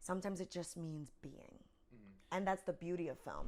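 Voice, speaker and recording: A woman with a New York accent. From Bronx, New York. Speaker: actor. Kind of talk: interview answer.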